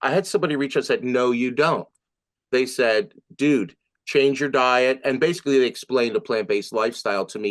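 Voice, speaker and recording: A man is speaking. The background is quiet. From New Jersey / Philadelphia area. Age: 60s. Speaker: musician. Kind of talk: interview testimony. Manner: hesitant, many fillers; animated.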